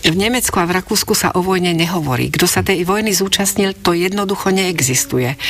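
Over noticeable background noise, the speech moves at a fairly quick pace with hardly any pauses, ordinary pitch variation and very even loudness. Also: woman, medium pitch for a woman. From Slovakia, Bratislava. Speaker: writer and translator. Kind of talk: interview.

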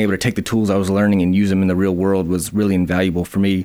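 In an Alabama accent, a man speaks at a very fast pace, his voice fairly low with a dark, mellow tone. The recording is very clean, with a silent background. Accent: Southern US (Alabama). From US South, northern Alabama (Huntsville/Madison). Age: 30s. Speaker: small business owner. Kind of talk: interview. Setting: radio studio.

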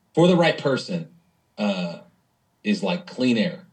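Speaking very slowly, a man with an American accent uses a fairly high, somewhat breathy voice. His pitch swings very widely. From US Pacific Northwest, Spokane, Washington. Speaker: nonprofit CEO. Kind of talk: casual interview.

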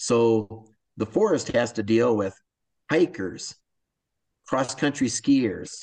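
With an American accent, a man speaks at medium pitch with ordinary pitch variation. His pace is very slow, broken by long, frequent pauses. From US Midwest, north central Iowa. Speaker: forest service recreation manager. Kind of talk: interview.

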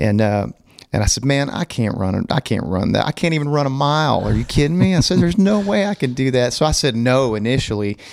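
A man speaks at a very fast pace in a Southern US accent. His pitch swings very widely. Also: medium pitch for a man. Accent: Southern US (Oklahoma). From Oklahoma. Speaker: country music singer. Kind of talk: casual interview.

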